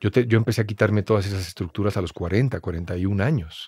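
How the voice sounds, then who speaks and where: A man talks at a fairly quick pace in a fairly low, somewhat breathy voice with ordinary pitch variation. The sound is dry with no echo, against a quiet background. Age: 40s. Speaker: actor. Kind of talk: casual chat. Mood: reflective, thoughtful. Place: studio. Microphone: studio mic.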